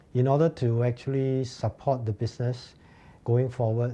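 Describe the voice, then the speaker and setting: A man talks at a moderate pace. His tone is dark and mellow, and somewhat breathy. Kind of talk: interview answer. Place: office.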